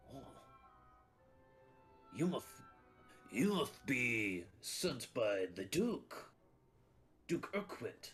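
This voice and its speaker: Faint music plays in the background as a put-on character voice moves at a very slow pace with very wide pitch swings and long, frequent pauses. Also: man, medium pitch for a man. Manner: silly, theatrical.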